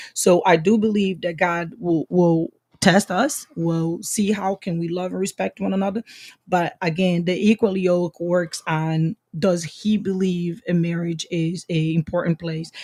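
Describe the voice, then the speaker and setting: A woman's fairly low, dark, mellow voice in a Brazilian accent, fairly slow and fairly even in intonation, with a dry, close sound and no echo. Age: 50s. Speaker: podcast guest. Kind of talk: casual chat.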